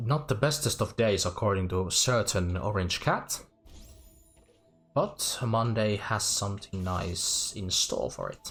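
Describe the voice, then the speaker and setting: Music plays in the background as a man with a Finnish accent speaks in a fairly low pitch with ordinary pitch variation. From Finland. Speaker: VTuber game streamer. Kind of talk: casual livestream chat. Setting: live stream. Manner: halting.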